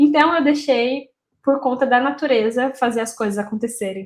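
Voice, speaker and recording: The woman's voice sits high in pitch, with ordinary variation. She talks at a moderate pace. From interior of São Paulo state, Brazil (Taubaté). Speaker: marketing content creator, copywriter. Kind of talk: casual solo talk to camera. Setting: home office.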